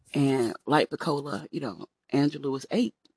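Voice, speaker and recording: Vocal fry at a moderate pace, with ordinary pitch variation and a dry, close sound with no echo. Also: woman. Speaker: podcast host. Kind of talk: solo podcast monologue.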